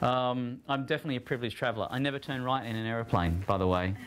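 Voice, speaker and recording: With an Australian accent, a man speaks very fast at medium pitch and with ordinary pitch variation. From Australia, rural country town. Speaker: digital trends speaker. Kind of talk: talk to students. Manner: casual and humorous.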